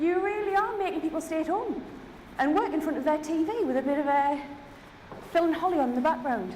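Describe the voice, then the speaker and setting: In a Geordie accent, a woman talks very fast at an extremely high pitch, animated in tone and lively in intonation, her loudness very even despite long, frequent pauses. The recording carries audible room echo and noticeable background noise. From Newcastle, northeast England. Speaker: keynote speaker, head of innovation. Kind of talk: keynote talk. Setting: stage with audience.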